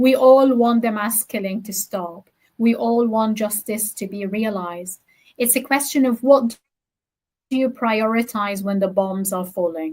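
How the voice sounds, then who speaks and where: A somewhat breathy woman talks at a fairly high pitch and a fairly slow pace. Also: ordinary pitch variation. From Gaza, Palestine. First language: Arabic. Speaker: poet and academic. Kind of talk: interview.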